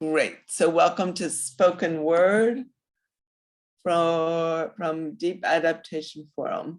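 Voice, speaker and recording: Fairly even intonation against a quiet background. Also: woman. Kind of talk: casual group call talk.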